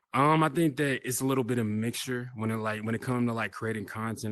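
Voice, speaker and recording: A man with an American accent at a fairly quick pace, ordinary pitch variation, and a quiet background. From Oklahoma, small town. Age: 20s. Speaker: content creator and artist. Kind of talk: casual chat. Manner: clear and loud; calm and mellow off camera.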